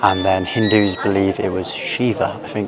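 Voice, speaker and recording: Quiet and monotone, a man with an English accent speaks at a fairly low pitch with flat intonation, amid noticeable background noise and audible room echo. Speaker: travel vlogger. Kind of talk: vlog narration. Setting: outdoors.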